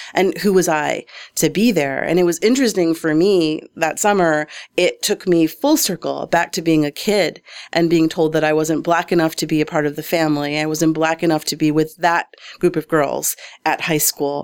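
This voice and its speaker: The voice is an ordinary speaking voice, with fairly even intonation at a moderate pace. The recording is very clean, with a silent background. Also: woman, fairly low pitch for a woman. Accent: American. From Detroit suburbs, Michigan. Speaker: arts nonprofit director. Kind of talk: interview.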